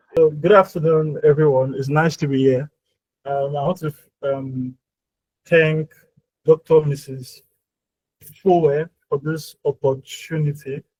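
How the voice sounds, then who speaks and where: In a dry, close sound with no echo, a man talks at a fairly high pitch in a somewhat breathy, monotone, flat voice broken by long, frequent pauses. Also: fairly slow pace. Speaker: workshop speaker. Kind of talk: presentation.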